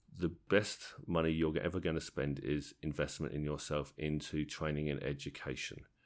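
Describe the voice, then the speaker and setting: A man in a southern English accent, very deep and low in pitch, with vocal fry, a flat monotone, and a moderate pace. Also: hardly any pauses. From southern England, Tadley area (Hampshire/Berkshire border). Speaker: wedding DJ and DJ trainer. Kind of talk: interview. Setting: at a convention. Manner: halting, repeats words.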